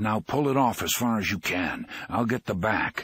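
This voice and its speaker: A man's put-on character voice, growling and hoarse, at a medium pitch and moderate pace, with ordinary pitch variation and very even loudness. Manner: curt, commanding, growling.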